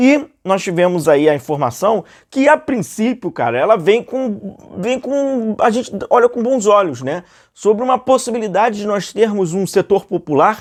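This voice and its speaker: A man with a high voice and a Rio de Janeiro accent speaks at a moderate pace with lively intonation against a quiet background. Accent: Rio de Janeiro (carioca). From Rio de Janeiro, Brazil. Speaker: football YouTuber. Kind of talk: casual commentary monologue. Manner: conversational, many fillers.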